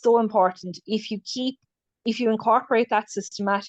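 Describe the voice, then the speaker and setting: Speaking fairly quickly with an Irish accent, a woman keeps her intonation fairly even. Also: dry, close sound with no echo. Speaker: clinical nurse specialist. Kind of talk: webinar lecture. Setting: video call. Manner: fast.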